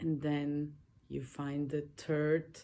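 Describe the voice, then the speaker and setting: In a very clean recording with a silent background, a woman speaks with a very deep, low pitch and a dark, mellow tone. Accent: Slavic. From Slovenia, village. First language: Slovene. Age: 30s. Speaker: podcaster. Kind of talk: personal monologue. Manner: casual, halting.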